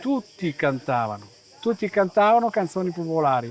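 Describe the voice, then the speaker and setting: Noticeable background noise sits behind this recording. A man speaks at a moderate pace with a high pitch. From Caneva, Friuli (Veneto border). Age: 60s. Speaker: folk singer. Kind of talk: interview.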